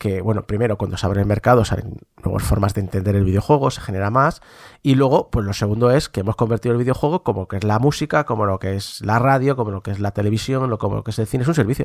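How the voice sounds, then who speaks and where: A man's fairly low voice at a very fast pace, with ordinary pitch variation and big swings in loudness, in a very clean recording with a silent background and a dry, close sound with no echo. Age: 40s. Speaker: video game commentator. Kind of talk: casual chat.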